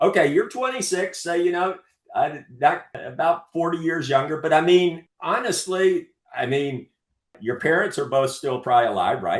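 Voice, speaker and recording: A man with a high-pitched voice and lively intonation, speaking at a moderate pace with an American accent. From US South, North Carolina. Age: 60s. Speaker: veteran rock climber and artist. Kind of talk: interview. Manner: halting, with many repetitions; animated.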